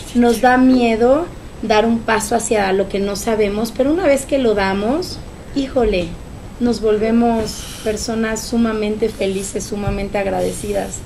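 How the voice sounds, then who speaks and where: With light background noise, the speech moves at a fairly slow pace with fairly even intonation. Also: woman. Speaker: choreographer and dance director of the project. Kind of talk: casual interview. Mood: warm, proud, emotional. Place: home room. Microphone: podium.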